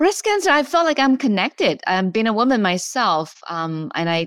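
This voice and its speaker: A fairly quick woman with a Chinese accent and lively intonation. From China. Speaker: oncologist. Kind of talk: interview. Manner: halting, many fillers.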